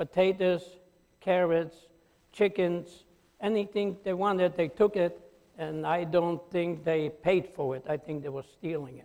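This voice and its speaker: A man speaks in a high pitch at a fairly slow pace. His intonation stays fairly even. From Poland. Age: 80s+. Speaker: Holocaust survivor. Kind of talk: testimony. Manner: halting.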